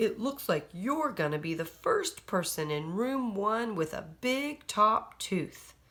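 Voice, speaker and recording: A raspy, female-sounding put-on character voice sits at a fairly high pitch. It moves at a fairly slow pace with hardly any pauses. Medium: read story. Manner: gentle, mildly amused.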